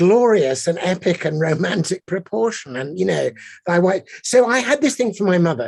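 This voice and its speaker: In an English accent, a man with a high voice speaks at a moderate pace with very wide pitch swings against a quiet background. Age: 60s. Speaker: poet. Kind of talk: panel conversation.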